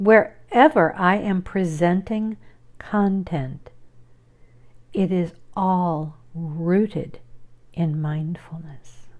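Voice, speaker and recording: A woman with a fairly low voice speaks at a very slow pace, leaving long, frequent pauses. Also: ordinary pitch variation. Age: 60s. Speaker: video blogger and artist. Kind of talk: casual personal vlog monologue. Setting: at home with pets.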